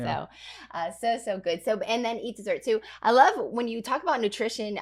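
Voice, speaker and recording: A woman's plain, everyday voice, fairly high in pitch, with lively intonation at a fairly quick pace. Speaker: pastor and podcast host. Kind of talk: podcast interview questions.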